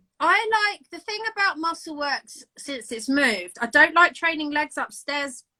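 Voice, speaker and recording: Raised and projected, a high-pitched woman's voice with a bright, sharp tone races on with hardly any pauses, making very wide pitch swings and big swings in loudness. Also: moderate pace. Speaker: amateur bodybuilder. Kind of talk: casual chat. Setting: Instagram live video.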